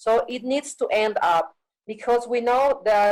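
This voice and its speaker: Here a woman speaks at a moderate pace with a high pitch. Her intonation is lively. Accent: Andean. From Bolivia. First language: Quechua. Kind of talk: panel talk.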